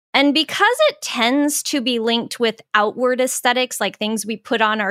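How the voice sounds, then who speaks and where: A very clean recording with a silent background of an unremarkable speaking voice with an American accent and ordinary pitch variation. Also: woman, dry, close sound with no echo. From US Southwest (Phoenix, Arizona). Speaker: podcast host and author. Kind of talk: casual chat.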